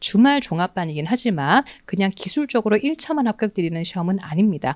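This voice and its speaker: At a fairly quick pace, a woman with a medium-pitched voice swings very widely in pitch, recorded dry and close with no echo on a very clean track with a silent background. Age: young. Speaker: exam prep lecturer. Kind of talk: course info session lecture. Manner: fast.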